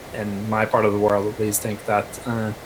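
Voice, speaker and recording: With a Norwegian accent, a man speaks at a moderate pace and a fairly low pitch. Noticeable background noise runs behind him. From Norway. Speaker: counter-extremism activist. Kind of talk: online panel discussion.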